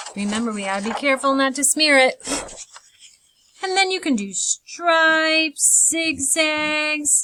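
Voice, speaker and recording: A woman speaks in a raised, projected voice at a high pitch and a fairly slow pace, with lively intonation. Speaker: art teacher for kids. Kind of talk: tutorial. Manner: halting.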